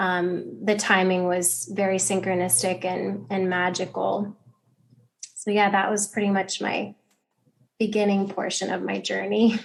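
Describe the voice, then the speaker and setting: A woman with an American accent talks in a normal speaking voice. She keeps a medium pitch and a fairly slow pace, with ordinary pitch variation. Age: 30s. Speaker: yoga teacher. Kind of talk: interview.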